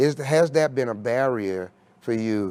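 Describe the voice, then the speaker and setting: On a very clean recording with a silent background, a man speaks in a medium pitch. He has an American accent and lively intonation. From New York City (Harlem). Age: 60s. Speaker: recovery organization leader. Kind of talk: interview conversation. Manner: halting, many fillers.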